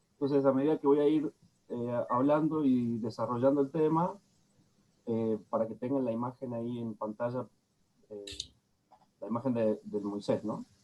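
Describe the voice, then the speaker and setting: With a dark, mellow tone and a medium pitch, a man speaks at a moderate pace with ordinary pitch variation and long, frequent pauses. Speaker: lecturer. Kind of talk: lecture.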